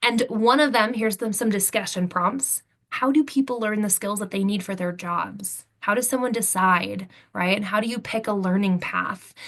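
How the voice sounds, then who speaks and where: Here a woman with an unremarkable speaking voice talks at medium pitch and a moderate pace. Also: ordinary pitch variation. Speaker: software training specialist. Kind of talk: webinar presentation.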